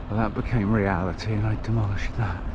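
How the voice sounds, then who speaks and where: Over noticeable background noise and audible room echo, a man with an English accent talks at a moderate pace. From England. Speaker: touring cyclist vlogger. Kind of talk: travel vlog narration.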